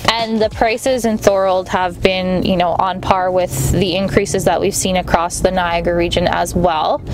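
With music in the background, a woman speaks in fairly even intonation. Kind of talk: interview answer. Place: car.

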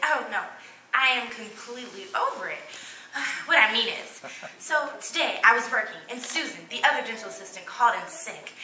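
Against light background noise and audible room echo, a woman talks at a moderate pace. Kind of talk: dramatic comic monologue in character. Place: hall.

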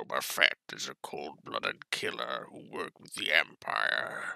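A raspy put-on character voice from a man, at a moderate pace. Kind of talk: tutorial narration in an imitated character voice.

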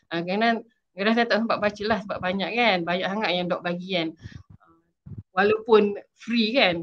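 Light background noise sits under speech delivered at a moderate pace with fairly even intonation. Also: woman. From Malaysia, Shah Alam; Malaysia. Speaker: PhD student sharing her story; guest. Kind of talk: interview testimony. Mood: friendly, smiling. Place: home room. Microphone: video call.

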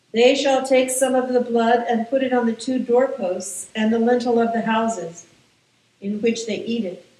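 The speech has fairly even intonation, with audible room echo. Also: woman. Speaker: clergy reader. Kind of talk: scripture reading. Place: church.

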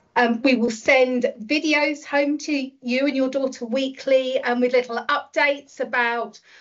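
A woman with a British accent speaks in a high voice with fairly even intonation. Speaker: school staff member. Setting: online webinar.

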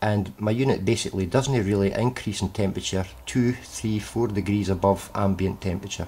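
A man with a fairly low, somewhat breathy voice speaks at a moderate pace with fairly even intonation. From UK. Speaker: hobbyist HHO cell builder. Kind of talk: workshop demonstration talk to camera. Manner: hesitant, casual. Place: workshop. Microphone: phone near.

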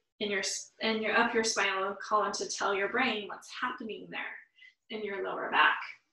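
A woman's bright, sharp tone carries audible room echo over a quiet background. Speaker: yoga teacher. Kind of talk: guided yoga class. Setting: online live class. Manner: slow. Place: home room. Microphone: camera far.

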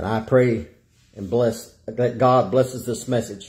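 Against a quiet background, a man with a dark, mellow tone and medium pitch speaks somewhat breathily at a moderate pace. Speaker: evangelist, preacher. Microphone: phone near.

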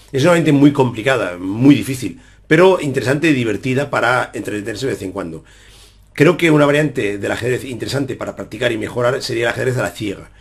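A man's very fast, somewhat breathy speech with lively intonation. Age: 40s. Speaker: chess player and YouTuber; YouTuber. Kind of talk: casual Q&A monologue to viewers. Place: home room. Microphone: webcam.

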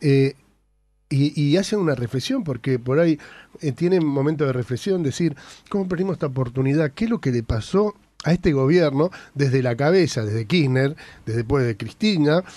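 Lively intonation over a dark, mellow tone, dry with no echo. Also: man. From Argentina. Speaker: radio host. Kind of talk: radio interview. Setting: radio studio. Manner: halting. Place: studio.

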